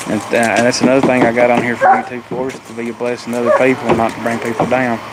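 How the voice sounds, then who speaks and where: A man with an American accent talks at a very fast pace and a medium pitch, in a monotone, flat intonation. His loudness swings widely, and there is noticeable background noise. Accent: Southern hillbilly. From US South, Appalachia. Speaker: family livestreamer. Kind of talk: casual live stream chat.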